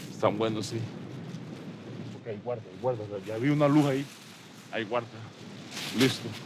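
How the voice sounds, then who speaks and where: A medium-pitched man at a very fast pace, with long, frequent pauses, fairly even intonation, audible room echo and noticeable background noise. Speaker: poacher. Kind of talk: casual talk. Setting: outdoors.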